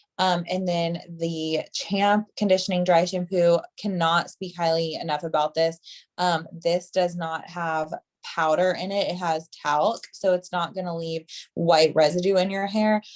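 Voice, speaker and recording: Speaking at a fairly slow pace, a woman uses a fairly low pitch and a monotone, flat intonation. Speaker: hairstylist and product trainer. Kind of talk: product training on video call. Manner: casual, filler-heavy.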